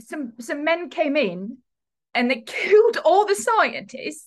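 A woman's put-on character voice, high-pitched and slow, with big pitch swings

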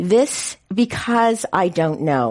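A woman with a West Coast US accent. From San Francisco. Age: 60s. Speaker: city politician. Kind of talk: panel discussion. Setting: stage with audience.

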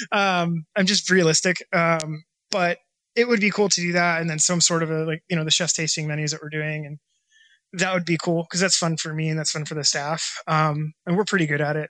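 With a US West Coast accent, a man speaks at a fairly quick pace in a high pitch, bright and sharp in tone, with fairly even intonation and a dry, close sound with no echo. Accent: US West Coast American. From Washington state, US Pacific Northwest. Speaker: chef and restaurant owner. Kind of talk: interview.

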